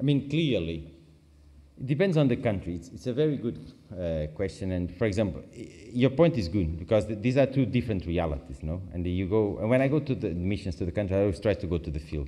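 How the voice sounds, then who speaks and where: With a Portuguese accent, a man talks at a very fast pace in a fairly low, dark, mellow voice whose pitch swings very widely, with audible room echo. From Portugal. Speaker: international agency expert. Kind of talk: conference Q&A. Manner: halting, self-correcting.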